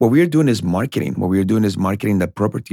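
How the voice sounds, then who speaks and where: A man with a Spanish accent and a dark, mellow tone, on a very clean recording with a silent background. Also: dry, close sound with no echo. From Colombia. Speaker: realtor. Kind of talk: casual interview.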